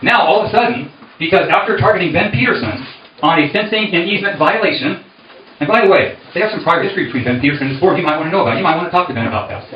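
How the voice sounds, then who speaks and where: Audible room echo and noticeable background noise surround a man. He talks at a very fast pace with a high pitch and lively intonation. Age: 60s. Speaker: candidate for community board. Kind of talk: campaign speech at meeting.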